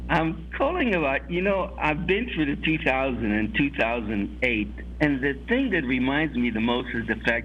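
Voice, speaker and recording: A man talks at a moderate pace. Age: 60s. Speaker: caller, trader. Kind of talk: call-in question.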